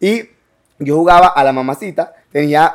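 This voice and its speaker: Speaking with a Colombian Caribbean accent, a man has a fairly high pitch and ordinary pitch variation. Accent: Colombian Caribbean (costeño) Spanish. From Colombian Caribbean coast (Bolívar, Cartagena, Barranquilla). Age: 20s. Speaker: entrepreneur and content creator. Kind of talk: casual interview. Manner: fast, hyperactive.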